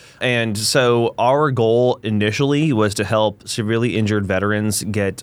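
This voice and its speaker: An unremarkable speaking voice from a man, fairly low in pitch with ordinary pitch variation, with an American accent. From US Northeast, New Hampshire. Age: 40s. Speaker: nonprofit executive director. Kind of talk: casual interview.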